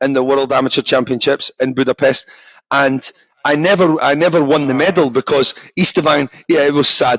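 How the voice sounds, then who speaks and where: A man's fairly high voice in a strong Scottish accent, with ordinary pitch variation, very even loudness, and a dry, close sound with no echo. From Scotland. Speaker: former professional boxer. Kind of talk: casual podcast interview. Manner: halting, repeats words.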